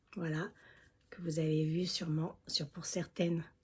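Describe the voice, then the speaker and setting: Somewhat breathy, with a dark, mellow tone, a woman with a fairly low pitch speaks at a very slow pace. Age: 60s. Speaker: beauty vlogger. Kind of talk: makeup tutorial. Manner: casual, chatty.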